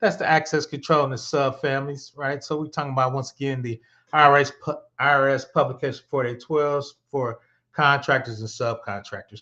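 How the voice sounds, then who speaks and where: Here is a plain, everyday voice. It moves at a fairly quick pace with fairly even intonation. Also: man, fairly high pitch for a man, quiet background. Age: 50s. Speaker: cybersecurity instructor. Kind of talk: live-streamed tutorial. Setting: live stream. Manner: casual, conversational.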